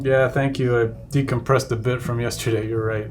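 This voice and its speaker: With music in the background and audible room echo, a man speaks with fairly even intonation. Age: 30s. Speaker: digital artist. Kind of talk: live stream tutorial chat. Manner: halting.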